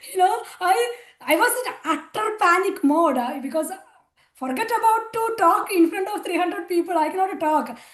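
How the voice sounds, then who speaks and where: A woman with an extremely high pitch speaks at a moderate pace, her intonation lively and the room echo audible. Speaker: spiritual volunteer sharing testimony. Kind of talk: testimony. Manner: hesitant, many fillers.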